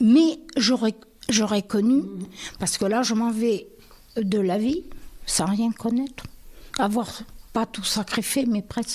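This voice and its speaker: A woman with a fairly high voice speaks very slowly, leaving long, frequent pauses. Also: ordinary pitch variation. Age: 80s+. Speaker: retired bank employee. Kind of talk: interview answer. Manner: casual, chatty.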